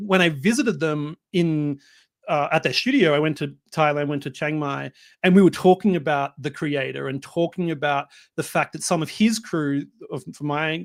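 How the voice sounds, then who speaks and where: Recorded very cleanly against a silent background, a man with an Australian accent speaks at a moderate pace, his fairly high pitch showing ordinary variation, the sound dry and close with no echo. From Australia, Melbourne. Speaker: film director. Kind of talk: interview. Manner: hesitant, many fillers.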